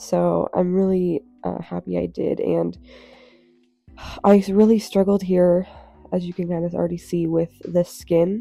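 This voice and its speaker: A woman's fairly slow speech with long, frequent pauses and music playing in the background. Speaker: art youtuber. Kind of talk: casual chat while drawing. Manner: hesitant, many fillers.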